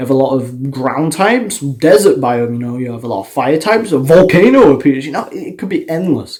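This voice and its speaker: With an animated tone and lively intonation, a man talks at a fairly quick pace in a fairly high voice, with hardly any pauses and big swings in loudness. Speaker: gaming YouTuber. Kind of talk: casual video commentary. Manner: fast.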